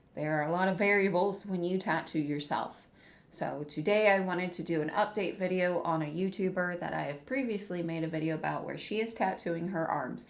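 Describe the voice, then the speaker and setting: Amid noticeable background noise and audible room echo, a woman speaks quietly at a fairly quick pace, her fairly low voice showing ordinary pitch variation. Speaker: ex-tattoo artist reacting to videos. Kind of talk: casual reaction commentary. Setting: at home. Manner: quiet, keeping voice down.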